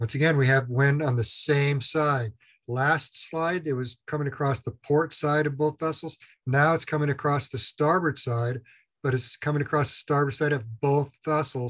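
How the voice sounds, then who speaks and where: A man's intonation stays fairly even as he talks at a moderate pace, with a quiet background. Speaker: instructor. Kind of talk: lecture.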